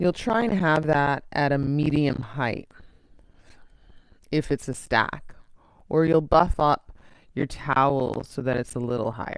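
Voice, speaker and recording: Using lively intonation, a woman with a very deep, low pitch talks at a fairly slow pace with long, frequent pauses. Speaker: yoga teacher. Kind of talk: guided yoga class. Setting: live online class. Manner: soft-spoken.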